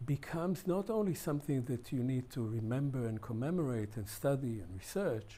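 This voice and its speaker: A man speaks at a medium pitch with lively intonation. His tone is dark, mellow and somewhat breathy. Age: 70s. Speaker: historian. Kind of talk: interview.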